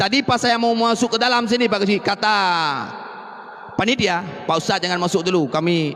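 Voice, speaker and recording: A man's animated voice with lively intonation in an Aceh accent, at a fairly quick pace. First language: Acehnese (speaking Indonesian). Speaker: Islamic preacher. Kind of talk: sermon.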